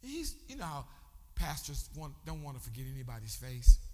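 This man has an animated tone and a moderate pace. Noticeable background noise runs beneath him. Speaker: bishop preacher. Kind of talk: sermon, preacher in full flow with call-and-response. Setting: church with congregation. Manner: animated, exhorting the congregation; rhythmic, fervent, crowd-rousing.

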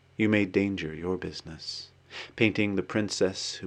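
In an American accent, a man speaks in an unremarkable speaking voice with a fairly low pitch and fairly even intonation against a quiet background. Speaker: poet reading own work. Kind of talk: poetry reading, read aloud from the page. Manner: measured, contemplative, literary.

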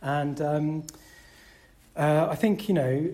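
A man speaks with a dark, mellow tone and ordinary pitch variation. His voice is somewhat breathy. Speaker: Buddhist centre chair. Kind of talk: dharma talk to fellow chairs.

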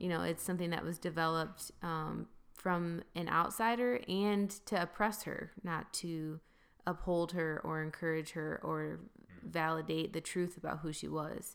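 A normal speaking voice from a woman with an American accent, fairly low in pitch, fairly slow, with fairly even intonation. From Grand Rapids, Michigan. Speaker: ministry worker and justice advocate. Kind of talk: interview conversation.

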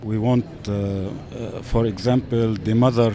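A man talks with an Arabic accent at a fairly low pitch and fairly even intonation. Noticeable background noise is present. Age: 40s. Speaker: web designer. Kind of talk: street interview.

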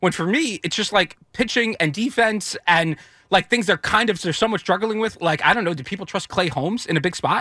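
A man with a high, bright, sharp voice projects it loudly, speaking at a fairly quick pace with lively intonation, and the sound is dry and close with no echo. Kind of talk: casual chat.

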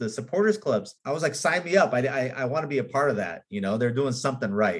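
In a Californian accent, a man talks at a fairly quick pace with a medium pitch and very wide pitch swings. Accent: Californian American English. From Los Angeles, Hollywood. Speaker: film and commercial director. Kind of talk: interview.

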